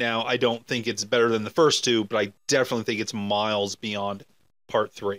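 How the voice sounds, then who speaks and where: His voice sits in a middle pitch range. The man keeps to an even, moderate speed. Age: 40s. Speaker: podcast co-host. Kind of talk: casual chat. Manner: animated.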